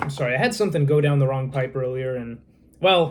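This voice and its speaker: The voice is somewhat breathy. It moves at a very fast pace. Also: man. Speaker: harmonica vlogger. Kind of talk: casual vlog talk. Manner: halting.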